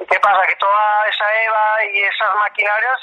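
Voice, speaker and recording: There is noticeable background noise behind this man. He speaks at a fairly slow pace with a high pitch. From Spain, Alicante (Denia). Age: 50s. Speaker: running coach and shoe entrepreneur. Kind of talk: interview. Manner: halting.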